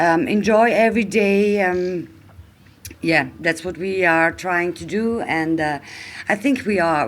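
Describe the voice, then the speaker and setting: Fairly slow, fairly low speech from a woman, with ordinary pitch variation. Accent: German. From Austria. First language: German. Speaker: traveller. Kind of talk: casual chat. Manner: halting.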